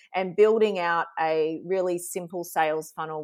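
Speaking with an Australian accent, a woman uses a fairly low pitch against a quiet background. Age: 40s. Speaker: social media strategist and sales coach. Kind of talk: casual interview chat. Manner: animated.

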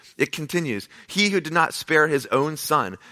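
The tone is bright and sharp. The sound is dry and close with no echo, in a very clean recording with a silent background. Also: man. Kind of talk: pep talk. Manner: warm, earnest, encouraging; direct, emphatic, repeating short reassuring phrases.

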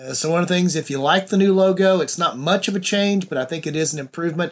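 A man speaks at a high pitch and a fairly quick pace. His pitch variation is ordinary. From US South. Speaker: podcast host. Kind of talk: casual monologue.

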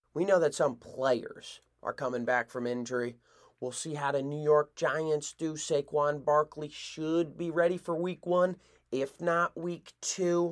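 On a very clean recording with a silent background, a man speaks with an ordinary speaking voice at a fairly high pitch. His pace is fairly slow and his intonation fairly even. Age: 20s. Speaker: sports podcast host. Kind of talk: solo sports commentary podcast.

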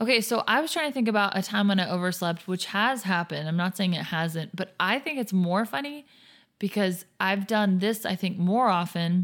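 In an American accent, a woman talks at a medium pitch with ordinary pitch variation. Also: very clean recording, silent background. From US South. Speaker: podcast host. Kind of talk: casual chat. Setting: studio. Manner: fast talker.

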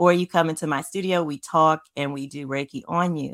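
On a very clean recording with a silent background, a woman with an American accent speaks fairly slowly at a very deep, low pitch, her intonation fairly even. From New York City, the Bronx. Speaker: podcast host and Reiki practitioner. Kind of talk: casual interview chat.

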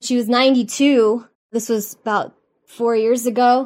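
This is an ordinary speaking voice. The intonation stays fairly even. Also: woman. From Miami, South Florida. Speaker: yoga teacher and senior fitness trainer. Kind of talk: interview.

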